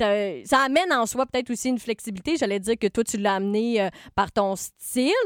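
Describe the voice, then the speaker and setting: On a very clean recording with a silent background, a woman speaks at a fairly high pitch and a fairly quick pace, the sound dry and close with no echo. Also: lively intonation. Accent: Quebec. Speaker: podcast host and writer. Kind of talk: casual chat.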